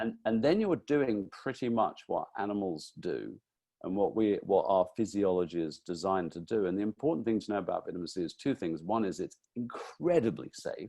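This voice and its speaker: A man speaks at a moderate pace with hardly any pauses, his pitch fairly low. His tone is dark and mellow, and his intonation lively. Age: 60s. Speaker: nutritionist and author. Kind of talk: interview.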